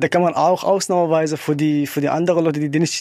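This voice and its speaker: A man with an Arabic accent speaks in a fairly high pitch with fairly even intonation. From Syria. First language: Arabic (speaking German). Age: 30s. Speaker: wind turbine technician. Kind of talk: interview.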